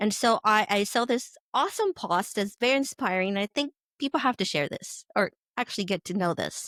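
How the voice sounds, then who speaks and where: Recorded with a dry, close sound and no echo, a woman with a fairly high pitch talks at a moderate pace with lively intonation. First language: Spanish. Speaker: podcast host. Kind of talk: podcast introduction.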